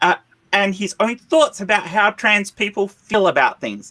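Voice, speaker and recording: Projecting his voice in a raised, animated tone, a man with an Australian accent speaks at a moderate pace in a high, bright and sharp voice with ordinary pitch variation, the sound dry and close with no echo. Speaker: panel show host. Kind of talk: heated panel discussion.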